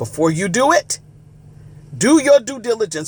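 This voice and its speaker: A man is shouting at a fairly slow pace. His pitch swings very widely. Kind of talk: preaching monologue. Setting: live video stream. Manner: loud, like yelling.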